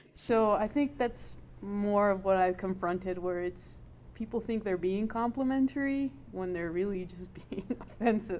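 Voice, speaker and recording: Talking fairly slowly, a woman uses ordinary pitch variation. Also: medium pitch for a woman. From El Paso, Texas. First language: Spanish. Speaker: intelligence professional. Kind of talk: panel discussion. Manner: halting.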